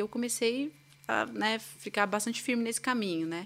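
An ordinary speaking voice from a woman, fairly high in pitch with ordinary variation, moves along at a fairly quick pace. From São Paulo, Brazil. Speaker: violinist. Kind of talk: casual interview.

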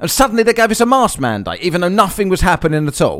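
Someone talks at a very fast pace in an Essex accent. The tone is animated and the intonation lively. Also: man. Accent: Essex English (southeast England). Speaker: podcast host. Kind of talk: angry, profanity-laced solo rant against mask mandates. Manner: exasperated and scornful, swearing with sarcastic mockery; animated, rambling with repeated words and laughs.

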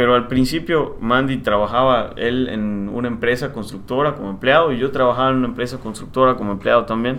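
With an ordinary speaking voice, a man talks at a fairly quick pace with hardly any pauses and fairly even intonation. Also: medium pitch for a man. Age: 30s. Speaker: civil engineer and property developer. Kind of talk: casual interview.

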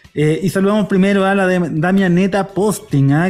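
With a Chilean accent, a man speaks in a high pitch with a dark, mellow tone. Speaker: football podcast host. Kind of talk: casual chat; reading listener comments. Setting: recording live on a street.

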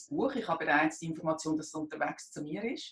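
A woman is speaking. Her pace is fairly quick. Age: 50s. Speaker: job seeker. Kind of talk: interview. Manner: halting.

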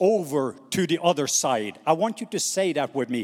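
With a Norwegian accent, a man talks at a fairly slow pace. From Norway. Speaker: missionary preacher. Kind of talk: sermon. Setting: stage with audience. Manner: animated.

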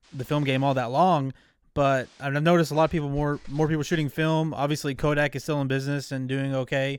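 Fairly high in pitch, a man with an unremarkable speaking voice and an American accent keeps his intonation fairly even. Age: 20s. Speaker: podcast host. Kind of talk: casual interview.

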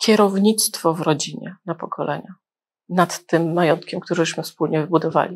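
In a very clean recording with a silent background, a woman with a normal speaking voice talks at a moderate pace, her pitch fairly low and her intonation fairly even. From Gdańsk, Poland. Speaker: wealth advisor, channel host. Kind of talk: interview.

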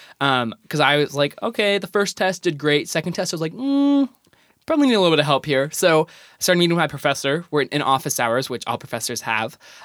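A man with an American accent talks at a very fast pace and a fairly high pitch, the sound dry and close with no echo. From California, Bay Area. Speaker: college student. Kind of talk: casual interview. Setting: studio.

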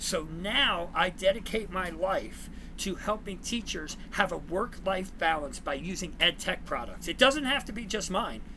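Bright, sharp tone from a man with a New Jersey accent, high in pitch, at a moderate pace with ordinary pitch variation. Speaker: former teacher and coach, ed tech worker. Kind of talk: casual interview chat, storytelling.

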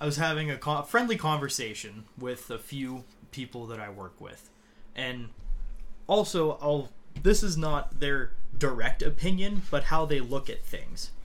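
Here is an unremarkable speaking voice, a man's, fairly high in pitch. He talks at a fairly slow pace with lively intonation and big swings in loudness. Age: 20s. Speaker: podcast guest, student. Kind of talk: casual chat.

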